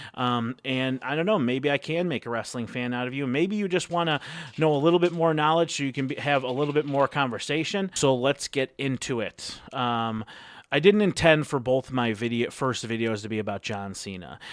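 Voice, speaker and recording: A man's lively, fairly quick speech at a medium pitch, with a dry, close sound with no echo in a very clean recording with a silent background. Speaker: wrestling vlogger. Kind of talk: casual vlog commentary. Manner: hesitant, many fillers.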